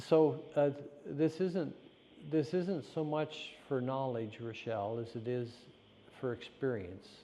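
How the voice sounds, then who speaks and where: Pausing long and often, a man speaks very slowly at a medium pitch in a dark, mellow tone with lively intonation. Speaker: spiritual teacher. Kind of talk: guided meditation session. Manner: slow, with silences.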